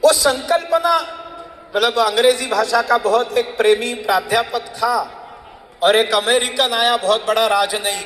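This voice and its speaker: Spoken with a Marathi accent, the voice holds very even loudness and ordinary pitch variation over noticeable background noise. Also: man, extremely high pitch for a man. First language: Marathi (speaking Hindi). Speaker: public speaker. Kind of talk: speech to audience.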